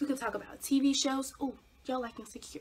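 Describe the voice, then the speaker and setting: Amid noticeable background noise, a woman talks at a very fast pace in a high, animated voice. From Ahoskie, North Carolina. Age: young. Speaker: aspiring TV personality, journalism student. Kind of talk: casual vlog talk to camera. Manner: chatty, animated, rambling.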